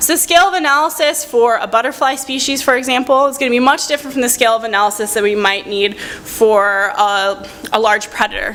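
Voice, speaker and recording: A woman talks at a very fast pace in a high voice, with hardly any pauses and noticeable background noise. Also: ordinary pitch variation. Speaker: researcher and university lecturer. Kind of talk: conference presentation; audience Q&A answer.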